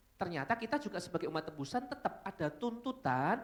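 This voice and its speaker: A man speaks at a very fast pace with very wide pitch swings. Noticeable background noise runs behind him. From Solo, Central Java, Indonesia. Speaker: pastor. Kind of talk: sermon. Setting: church. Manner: casual, conversational.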